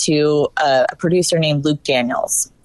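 Lively intonation marks a normal speaking voice with an American accent at a fairly slow pace. The sound is dry and close with no echo. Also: woman. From northern Virginia, US South. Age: young. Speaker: actress and film producer. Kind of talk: casual chat.

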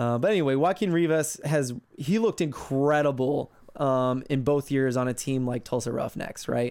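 A man talks at a moderate pace in an ordinary speaking voice with a fairly high pitch and ordinary pitch variation. The recording is very clean and the background silent. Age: 30s. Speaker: soccer podcaster. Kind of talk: casual chat.

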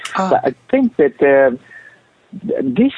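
A man with a Japanese accent speaks at a very slow pace. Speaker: author and company president. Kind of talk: radio interview. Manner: halting, searching for words.

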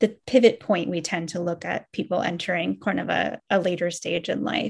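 A woman's fairly low voice with vocal fry. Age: 40s. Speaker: author and moderator. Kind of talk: panel discussion.

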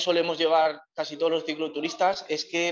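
A man with a fairly high pitch, an ordinary speaking voice, and a fairly quick pace. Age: 30s. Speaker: long-distance cycle tourer. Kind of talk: interview. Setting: remote call from Cape Town.

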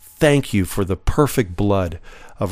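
Very wide pitch swings mark a man's voice at a fairly slow pace. The recording is very clean with a silent background. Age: 50s. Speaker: podcast Bible teacher. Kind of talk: Bible teaching.

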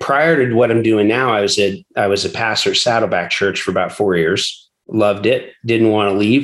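A man with an American accent talks at a moderate pace in an ordinary speaking voice, medium in pitch with ordinary pitch variation, very even loudness and hardly any pauses. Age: 40s. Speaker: pastor and church planter. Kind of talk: interview conversation.

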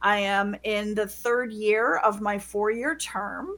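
A woman speaks in an American accent. Her pitch is fairly high, with ordinary variation. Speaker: school board member. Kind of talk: interview. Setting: video call. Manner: animated.

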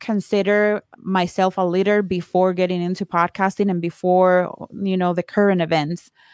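A woman in a Spanish accent, monotone and flat in intonation, on a very clean recording with a silent background and a dry, close sound with no echo. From Colombia. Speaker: podcaster and course creator. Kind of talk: casual chat.

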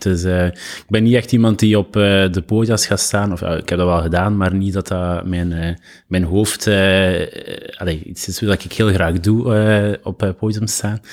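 On a very clean recording with a silent background, a man with a fairly low pitch speaks at a moderate pace with fairly even intonation. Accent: Flemish. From Belgium, East Flanders (Lokeren, Ghent). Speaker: designer and entrepreneur. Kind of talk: casual interview conversation.

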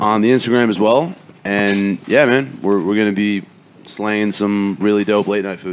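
A man talks at a moderate pace with a fairly low pitch and fairly even intonation. Noticeable background noise runs behind him. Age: 20s. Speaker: chef. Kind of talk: casual chat.

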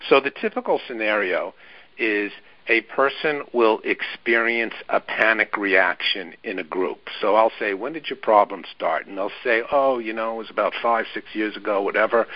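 The man has a normal speaking voice, medium in pitch, with ordinary pitch variation and a moderate pace. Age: 60s. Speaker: therapist and author. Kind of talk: interview.

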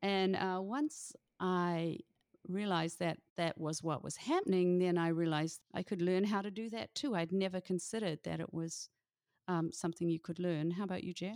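Speaking in a fairly low voice with a New Zealand accent, a woman keeps a moderate pace and ordinary pitch variation, on a very clean, dry, close recording with a silent background and no echo. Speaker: author and former teacher. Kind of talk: casual interview.

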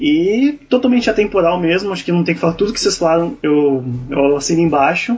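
A man speaks very fast at a high pitch, with lively intonation. Noticeable background noise runs behind him. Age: 20s. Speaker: film podcast guest. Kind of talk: casual chat.

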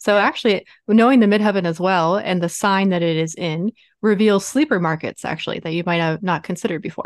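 A woman with an American accent at a very fast pace, medium pitch and ordinary pitch variation, over a quiet background. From US, Baltimore, Maryland. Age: 30s. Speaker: business astrologer. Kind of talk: interview. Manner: talkative.

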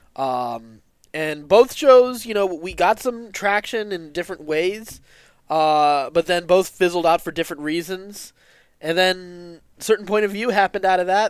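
Using a high voice with ordinary pitch variation, a man speaks at a fairly slow pace. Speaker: podcast co-creator. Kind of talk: casual interview chat.

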